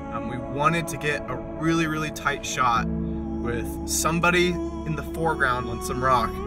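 Loud music plays behind a man speaking at a fairly slow pace. The sound is dry, with no echo. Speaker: vlogger. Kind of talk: casual vlog chat. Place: car. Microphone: phone near.

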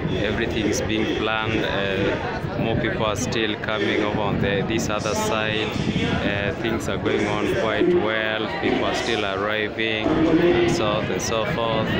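Loud background noise surrounds a man's voice. He speaks at a moderate pace with ordinary pitch variation. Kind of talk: casual commentary. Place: stadium. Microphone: phone near.

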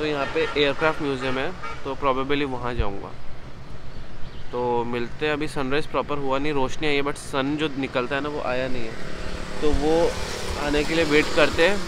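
Over clear background noise, a man of medium pitch speaks at a moderate pace with fairly even intonation.

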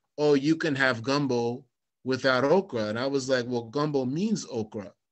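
A man's plain, everyday voice, moderate in pace, fairly high in pitch, with ordinary pitch variation. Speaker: blues musician and interview host. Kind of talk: interview.

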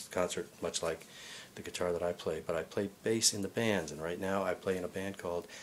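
Very deep and low-pitched, a man speaks at a fairly quick pace with monotone, flat intonation over light background noise. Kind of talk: self-introduction monologue. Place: home room. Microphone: webcam.

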